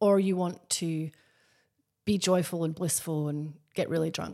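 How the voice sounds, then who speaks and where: On a very clean recording with a silent background, a woman speaks in a dark, mellow tone at a fairly low pitch, her intonation fairly even. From Scotland. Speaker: journalist and author. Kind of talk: interview conversation.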